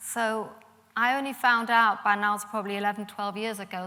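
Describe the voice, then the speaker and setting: Bright and sharp in tone, a woman speaks at a medium pitch and a moderate pace with monotone, flat intonation. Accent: slight German. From Germany, Munich, Bavaria. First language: German. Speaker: Holocaust survivors' daughter, speaker. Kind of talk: public talk.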